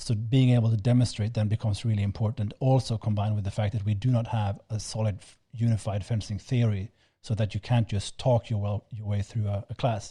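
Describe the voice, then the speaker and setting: Flat, monotone delivery with a non-native accent, a dark, mellow tone and some breathiness, close and dry with no echo on a very clean, silent recording. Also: man, fairly low pitch for a man, fairly quick pace. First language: not English. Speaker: fencing instructor, podcast co-host. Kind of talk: casual chat. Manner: halting, many repeated words.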